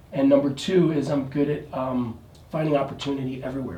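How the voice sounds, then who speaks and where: Amid noticeable background noise and audible room echo, a man speaks at a fairly quick pace with a fairly high pitch and fairly even intonation. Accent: American. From New York City. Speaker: real estate agent. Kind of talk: interview. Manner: halting.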